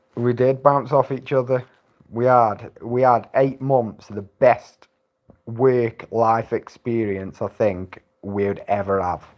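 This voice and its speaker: A man talks at a medium pitch with fairly even intonation. His pace is very slow. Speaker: livestreamer and former landscaper. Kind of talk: casual livestream chat. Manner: monotone.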